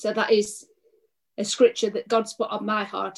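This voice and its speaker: A woman with an English accent, medium in pitch. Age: 50s. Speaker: pastor. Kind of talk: preaching.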